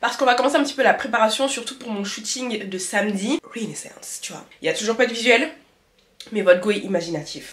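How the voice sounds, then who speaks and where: This woman talks at a fairly quick pace with a fairly high pitch and lively intonation. Her loudness swings widely. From France, of Malian heritage. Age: 20s. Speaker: lifestyle vlogger. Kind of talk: casual talk to camera.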